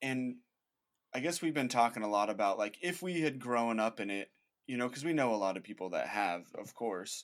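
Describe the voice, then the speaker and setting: Using a normal speaking voice, a man talks at a medium pitch and fairly quick pace with lively intonation. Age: 20s. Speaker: founder of an outdoor faith video channel. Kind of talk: casual interview chat.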